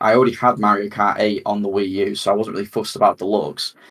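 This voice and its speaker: The man's voice sits at a medium pitch. He races along very quickly. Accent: British. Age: 30s. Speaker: gaming podcast host. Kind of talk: casual chat. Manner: halting, many fillers and repeats.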